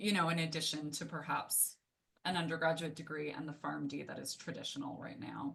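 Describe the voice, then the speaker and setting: Vocal fry marks a woman's very deep, low voice. She keeps a monotone, flat intonation at a moderate pace. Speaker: moderator. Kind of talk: panel discussion. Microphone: microphone not working, speaking without it.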